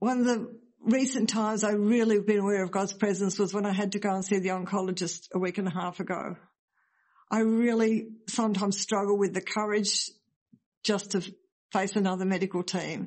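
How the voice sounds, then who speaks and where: At a fairly quick pace, a woman speaks at a medium pitch in a flat, monotone way. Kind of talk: testimony.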